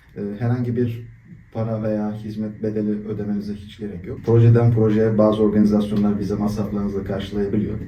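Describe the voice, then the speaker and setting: A man speaks in a monotone with flat intonation. Audible room echo surrounds the voice. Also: fairly low pitch for a man, fairly quick pace. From Turkey, Istanbul. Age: 20s. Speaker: volunteer, engineer. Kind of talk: interview. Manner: hesitant, many fillers.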